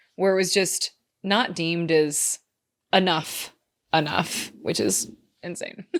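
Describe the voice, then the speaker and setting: Her voice is fairly low and shows vocal fry and ordinary pitch variation. This woman talks at a very slow pace with long, frequent pauses. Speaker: astrology and human design coach. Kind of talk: podcast talk to listeners. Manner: casual, chatty.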